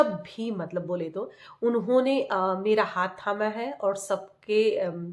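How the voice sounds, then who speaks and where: Very slowly, a woman talks at a medium pitch. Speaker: family vlogger. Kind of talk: casual vlog talk to camera. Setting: at home. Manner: hesitant, many fillers.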